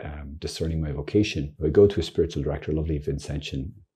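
A man talks at a fairly quick pace in a very deep, low pitch with ordinary pitch variation. His tone is dark and mellow and somewhat breathy. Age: 50s. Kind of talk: informal teaching monologue. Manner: animated, laughing often.

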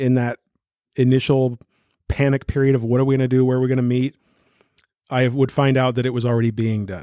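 A man with an American accent, medium pitch, dark, mellow tone and fairly even intonation, in a dry, close sound with no echo. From Newton, US. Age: 50s. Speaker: pastor. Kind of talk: interview. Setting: church office.

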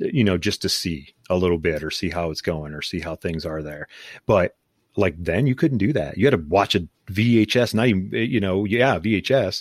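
A man with a Midwestern American accent speaks at a moderate pace in a very deep, low voice with lively intonation. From Ohio, US (Canton). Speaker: podcast co-host. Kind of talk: casual chat. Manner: animated.

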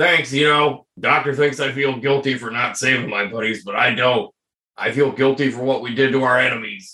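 A man in a put-on character voice, medium pitch, moderate pace. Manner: gruff, weary, world-worn.

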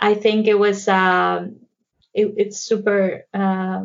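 With a Mexican accent, a woman speaks at a medium pitch with fairly even intonation. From Mexico. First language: Spanish. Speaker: psychotherapist. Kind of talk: interview conversation.

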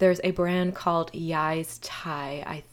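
A woman speaks at a moderate pace with an American accent. Her pitch varies in an ordinary way. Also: very clean recording, silent background. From Virginia Beach. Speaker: podcast co-host, nutritional therapy practitioner. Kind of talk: casual chat.

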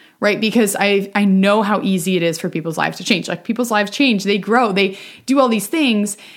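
Medium-pitched, a woman talks at a fairly quick pace with ordinary pitch variation. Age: 20s. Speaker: podcast host. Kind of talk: casual monologue. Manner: conversational, unstructured.

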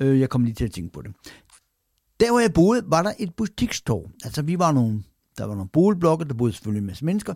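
On a very clean recording with a silent background, a man with a fairly high pitch speaks at a fairly quick pace with very wide pitch swings and long, frequent pauses. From Denmark, Randers (East Jutland). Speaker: podcast host, former sports journalist. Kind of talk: personal storytelling monologue. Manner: hesitant with fillers.

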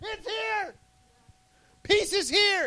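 In a put-on character voice, the speaker talks at an extremely high pitch. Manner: intense.

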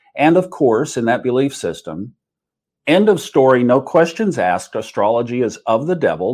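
Using very wide pitch swings, a man speaks around a medium pitch. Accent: American. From Oklahoma, US. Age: 60s. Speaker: astrologer and podcaster. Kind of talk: casual interview chat.

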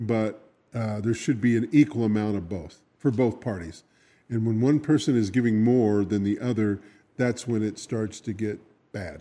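Fairly low and dark, mellow in tone, this man's voice moves at a moderate pace with ordinary pitch variation. The recording is very clean, with a silent background. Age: 60s. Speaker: radio co-host. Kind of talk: casual chat. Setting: radio studio.

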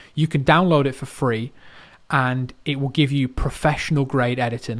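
An ordinary speaking voice from a man of medium pitch, with fairly even intonation at a moderate pace. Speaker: marketing expert. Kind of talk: podcast advice.

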